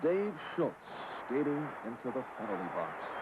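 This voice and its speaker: Against noticeable background noise, a man talks at a moderate pace in a fairly high pitch. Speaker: sportscaster. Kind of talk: sports broadcast narration.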